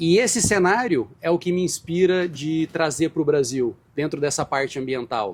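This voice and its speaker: Speaking at a moderate pace with hardly any pauses, a man with a fairly high pitch uses lively intonation. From Brazil. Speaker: marine scientist, professor. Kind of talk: interview. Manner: hesitant, with fillers.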